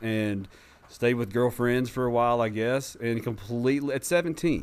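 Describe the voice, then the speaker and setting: In a normal speaking voice, a man keeps a medium pitch and a moderate pace while his pitch varies in an ordinary way. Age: 40s. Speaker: person in recovery. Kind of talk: casual interview telling life story. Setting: studio.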